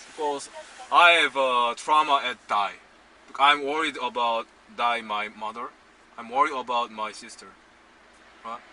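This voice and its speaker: A man at medium pitch, fairly slow, with ordinary pitch variation, big swings in loudness, long frequent pauses and noticeable background noise. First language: Korean. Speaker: filmmaker. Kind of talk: casual chat. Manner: halting.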